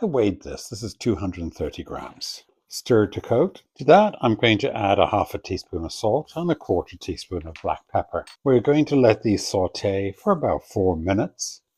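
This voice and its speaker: A man with an Irish accent speaks at a moderate pace in a medium pitch, his voice somewhat breathy. The sound is dry and close with no echo, over a quiet background. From Ireland. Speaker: cooking show host. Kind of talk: tutorial.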